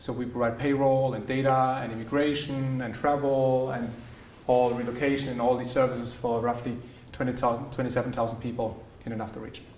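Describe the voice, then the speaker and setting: A man's monotone, flat speech at a fairly quick pace, with audible room echo and noticeable background noise. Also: medium pitch for a man. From Germany, Swabia (Tübingen). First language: German. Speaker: business executive. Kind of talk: guest talk. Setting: university lecture hall. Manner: hesitant, many fillers.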